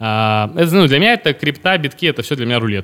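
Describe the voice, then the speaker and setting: A man speaks at a very fast pace in a medium pitch. The recording is very clean, with a silent background. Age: 30s. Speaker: finance company founder. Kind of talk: casual interview.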